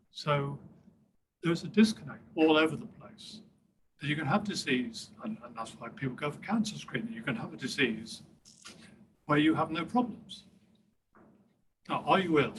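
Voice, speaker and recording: A man speaks at a fairly high pitch with very wide pitch swings. Long, frequent pauses break up his speech amid audible room echo. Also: moderate pace. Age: 70s. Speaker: professor of rehabilitation. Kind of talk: Q&A discussion after a talk. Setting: conference session with audience.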